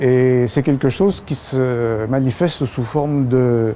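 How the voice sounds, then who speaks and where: A man speaks at a medium pitch with ordinary pitch variation. Noticeable background noise runs under his voice. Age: 70s. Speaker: patient giving testimony. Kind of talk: testimony. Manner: halting.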